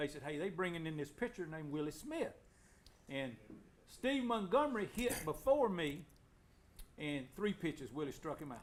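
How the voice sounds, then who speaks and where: Very wide pitch swings and long, frequent pauses mark this voice with an Alabama accent. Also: man, fairly high pitch for a man, moderate pace. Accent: US Southern (Alabama). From Alabama, Anniston. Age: 60s. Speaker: former local baseball player. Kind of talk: casual chat.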